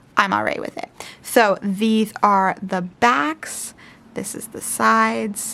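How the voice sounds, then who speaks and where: Mumbling at a very slow pace, a woman speaks with big swings in loudness. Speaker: tarot youtuber. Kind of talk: unboxing video.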